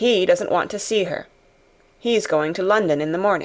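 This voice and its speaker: A woman's put-on character voice, raspy and husky, medium in pitch with ordinary pitch variation and a moderate pace. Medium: read story. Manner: terse, stern.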